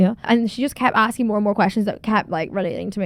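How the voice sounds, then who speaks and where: This woman talks at a very fast pace in a fairly high pitch. Her tone is animated. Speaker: podcaster. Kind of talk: casual monologue.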